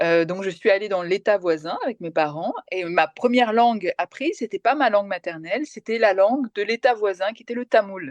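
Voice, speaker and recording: A woman talks at a moderate pace with a medium pitch and lively intonation. The sound is dry and close with no echo, and the background is quiet. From France (came from Kerala, India at age 3). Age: 40s. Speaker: TV journalist and presenter. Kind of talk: interview. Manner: hesitant, many fillers.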